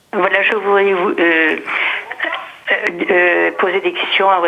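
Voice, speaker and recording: With noticeable background noise, a woman speaks at a very slow pace with very even loudness and hardly any pauses. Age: 70s. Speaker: caller. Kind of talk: phone call-in question. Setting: phone call. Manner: halting.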